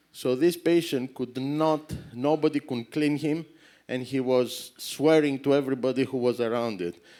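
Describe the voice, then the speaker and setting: Over a silent background in a very clean recording, a man with a Greek accent speaks at a moderate pace in a dark, mellow tone. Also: medium pitch for a man, ordinary pitch variation. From Greece. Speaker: surgeon. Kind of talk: conference lecture. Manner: halting, self-correcting.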